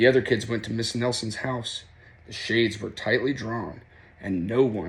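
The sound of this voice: Intonation stays fairly even in an unforced reading voice.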